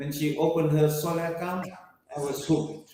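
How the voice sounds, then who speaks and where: A fairly high-pitched man with audible room echo. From Fiji. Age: 60s. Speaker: app founder. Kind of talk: interview. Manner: animated.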